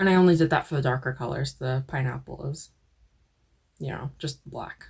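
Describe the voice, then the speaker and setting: This woman's pitch sits very deep and low, with ordinary variation and vocal fry. She talks at a moderate pace. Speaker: crochet vlogger. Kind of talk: casual vlog.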